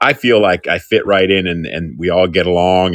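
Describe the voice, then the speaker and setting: At a fairly quick pace, a man talks in a very deep, low pitch. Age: 60s. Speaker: community college student. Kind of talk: casual chat.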